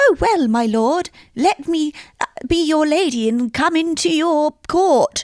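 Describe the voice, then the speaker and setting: A put-on, squeaky character voice, female-sounding and high-pitched, in a British accent at a fairly slow pace. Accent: mock British, exaggerated and poor. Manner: mock-regal, theatrical.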